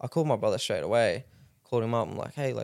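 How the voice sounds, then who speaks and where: This man's speech is very fast. His accent is Australian. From Rockhampton, Queensland, Australia. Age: 20s. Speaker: professional MMA fighter. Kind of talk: casual interview chat.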